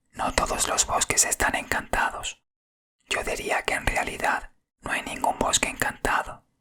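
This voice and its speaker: Someone whispers at a fairly slow pace. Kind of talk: whispered audiobook reading of a story. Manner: whispered.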